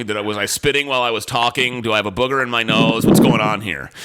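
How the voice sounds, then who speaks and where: A man at a medium pitch and very fast pace, with noticeable background noise. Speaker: radio talk show host. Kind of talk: radio talk show. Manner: fast when excited.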